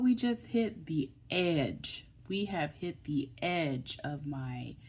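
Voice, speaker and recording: A woman with an American accent has a dark, mellow, somewhat breathy tone. Her pitch swings very widely. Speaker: online video creator. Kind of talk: motivational talk to camera. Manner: emphatic, repetitive.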